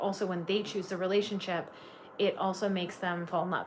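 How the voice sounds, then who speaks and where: Against noticeable background noise, a woman with a slight Canadian accent talks fairly quickly at medium pitch with fairly even intonation. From Canada. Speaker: tarot reader. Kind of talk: live-stream tarot reading. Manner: casual, filler-heavy.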